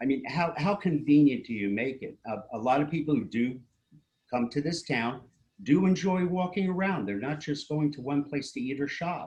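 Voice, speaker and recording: The voice has an American accent, lively intonation, a somewhat breathy quality and a moderate pace. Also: man, fairly high pitch for a man. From US Northeast, Princeton New Jersey. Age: 60s. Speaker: local resident commenting at public meeting. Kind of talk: public comment at municipal meeting. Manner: halting, many fillers.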